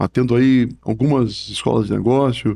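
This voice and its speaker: Speaking at a moderate pace, a man uses medium pitch with ordinary pitch variation. The recording is very clean, with a silent background. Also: dry, close sound with no echo. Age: 60s. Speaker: professor and book author. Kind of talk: podcast interview. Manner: halting, with many repetitions and fillers.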